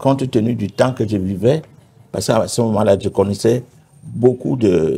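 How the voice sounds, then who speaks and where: The tone is dark and mellow, with vocal fry. Delivery moves at a moderate pace with ordinary pitch variation. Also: man, fairly low pitch for a man. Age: 70s. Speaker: pastor. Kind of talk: testimony. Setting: TV studio.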